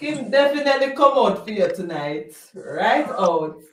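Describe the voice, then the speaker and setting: Extremely high male voice in a Jamaican accent, fairly slow, with lively intonation and audible room echo. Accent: Jamaican Patois. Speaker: live stream co-host. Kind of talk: casual chat. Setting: live stream.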